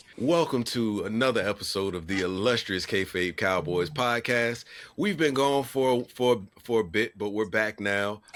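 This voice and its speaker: With a plain, everyday voice, a man speaks at a moderate pace with ordinary pitch variation. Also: medium pitch for a man. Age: 40s. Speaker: podcast host. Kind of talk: casual chat.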